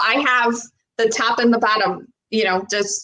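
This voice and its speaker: A woman speaks in a Buffalo accent at a fairly high pitch. Her pace is moderate. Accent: American, Buffalo. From Buffalo, New York, US. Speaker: personal trainer and wellness coach. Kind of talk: casual chat. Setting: live video stream.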